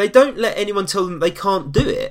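Here a man talks in a London accent at a fairly quick pace. The recording is very clean, with a silent background. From East London. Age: 20s. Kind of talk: casual chat.

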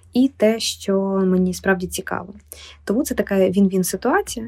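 A woman speaks at medium pitch and a fairly slow pace in a dark, mellow tone. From Ukraine, Kyiv. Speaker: literary publisher. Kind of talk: podcast interview.

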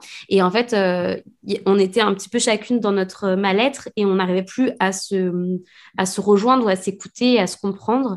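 This woman's voice is medium in pitch, with fairly even intonation. She talks at a moderate pace over a quiet background. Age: 30s. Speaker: author and illustrator. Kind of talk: casual interview. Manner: halting.

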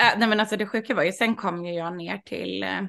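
A woman with vocal fry, ordinary pitch variation and a fairly quick pace against a quiet background. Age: 30s. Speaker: sex party organizer. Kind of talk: casual interview.

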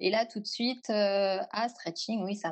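A woman with a normal speaking voice, at a fairly slow pace. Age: 30s. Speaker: yoga teacher. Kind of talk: interview.

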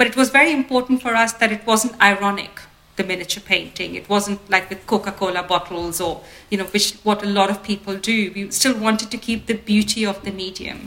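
Noticeable background noise sits behind a woman who speaks at a fairly quick pace and medium pitch with fairly even intonation. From India (Ahmedabad). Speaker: designer. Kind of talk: interview. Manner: hesitant, many fillers.

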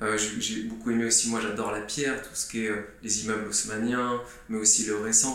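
Audible room echo and noticeable background noise surround a man's voice. He speaks at a medium pitch in a monotone, flat intonation. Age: 30s. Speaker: real estate agent. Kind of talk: podcast monologue. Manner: hesitant with fillers.

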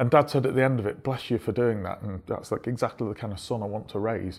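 A man in a Manchester accent, very fast, at a medium pitch with fairly even intonation, on a very clean recording with a silent background. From Stockport, Greater Manchester, England. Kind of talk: interview.

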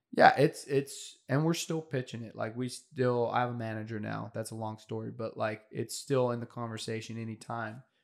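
In a normal speaking voice, a man at medium pitch talks at a moderate pace with fairly even intonation and hardly any pauses, on a very clean recording with a silent background. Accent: American. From rural California, ranch country. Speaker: aspiring screenwriter. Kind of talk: casual interview chat.

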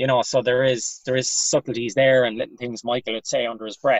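A man's medium-pitched voice with a western Irish accent, at a very fast pace. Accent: Irish (west of Ireland). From Ireland, Galway. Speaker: comedian. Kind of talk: casual chat.

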